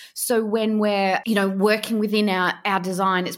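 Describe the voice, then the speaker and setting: At a moderate pace, a woman with medium pitch and fairly even intonation speaks on a very clean recording with a silent background. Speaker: business podcast host. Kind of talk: scripted intro; interview. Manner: blunt.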